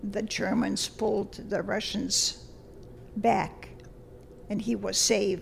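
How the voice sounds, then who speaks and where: A woman talks with a Lithuanian accent. Noticeable background noise is present. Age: 80s+. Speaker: retired language teacher. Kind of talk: interview. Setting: studio.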